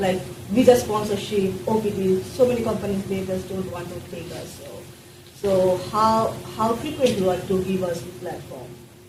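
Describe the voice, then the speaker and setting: The intonation is lively. Noticeable background noise and audible room echo come through. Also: woman, medium pitch for a woman, moderate pace, big swings in loudness. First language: not English. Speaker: international student. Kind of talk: audience question.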